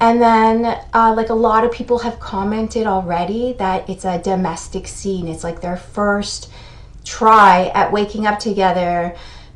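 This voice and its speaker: In an ordinary speaking voice, a woman talks at a fairly slow pace with medium pitch and fairly even intonation. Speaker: therapist explaining TV shows. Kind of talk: video commentary.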